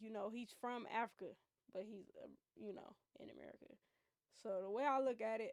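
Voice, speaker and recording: At a fairly quick pace, a woman speaks in a fairly high pitch with fairly even intonation and long, frequent pauses. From United States. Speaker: streamer. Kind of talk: reaction commentary.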